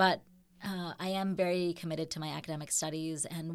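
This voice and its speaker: The recording is very clean with a silent background. A woman with an American accent talks at a moderate pace, fairly low in pitch and fairly even in intonation. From US Midwest, Chicago. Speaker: mayor and academic. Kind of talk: interview. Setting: studio.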